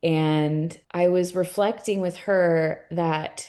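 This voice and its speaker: This woman's voice sits at a medium pitch. Her tone is dark and mellow. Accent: Californian. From California, US. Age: 40s. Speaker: art gallery owner. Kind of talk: casual interview conversation.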